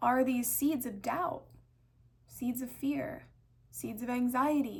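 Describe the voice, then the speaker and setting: Audible room echo surrounds a woman with a high pitch who speaks at a very slow pace with fairly even intonation. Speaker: spiritual self-help speaker. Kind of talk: reflective monologue. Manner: slowed-down, deliberate.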